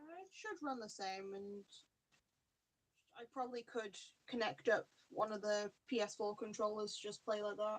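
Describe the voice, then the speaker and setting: Speaking quietly at a moderate pace, a woman with a fairly high pitch uses ordinary pitch variation, big swings in loudness, and long, frequent pauses. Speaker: podcast co-host. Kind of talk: casual chat.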